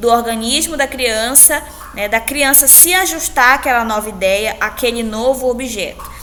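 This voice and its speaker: A woman's high-pitched voice at a moderate pace with ordinary pitch variation, audible room echo and noticeable background noise. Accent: Brazilian. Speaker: teacher. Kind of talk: lecture. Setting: recorded alone after a live class.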